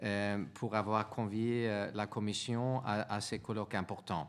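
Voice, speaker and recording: A man with a Swedish accent at a very slow pace, audible room echo around him. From Sweden. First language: Swedish (speaking French). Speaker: European Commission official. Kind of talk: conference talk from notes. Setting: conference with audience. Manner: halting, many hesitations.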